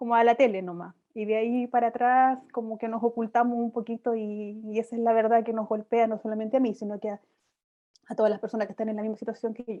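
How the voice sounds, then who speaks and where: This woman talks at a very fast pace with a fairly high pitch and monotone, flat intonation. Her loudness swings widely. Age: 30s. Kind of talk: interview.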